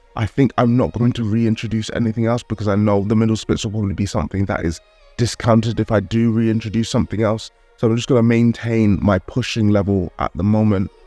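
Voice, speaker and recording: Very fast speech with fairly even intonation over background music, dry and close with no echo. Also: man, fairly low pitch for a man. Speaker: calisthenics vlogger. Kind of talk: vlog narration.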